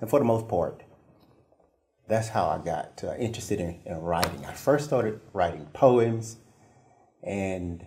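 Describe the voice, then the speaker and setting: A man's somewhat breathy, fairly low voice with a dark, mellow tone, lively intonation, a fairly slow pace and long, frequent pauses, in audible room echo. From eastern North Carolina, Pamlico Sound area. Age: 60s. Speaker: children's author and poet. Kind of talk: interview. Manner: hesitant, many fillers.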